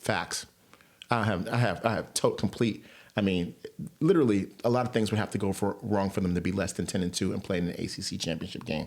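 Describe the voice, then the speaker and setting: At a fairly quick pace, a man with an American accent speaks with a fairly low pitch and ordinary pitch variation. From New York. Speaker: sports podcaster. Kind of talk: casual monologue. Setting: home recording with headphones. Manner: fast.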